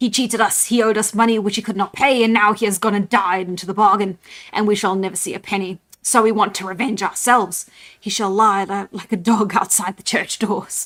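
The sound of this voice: Using a put-on character voice of medium pitch, a woman speaks at a fairly quick pace.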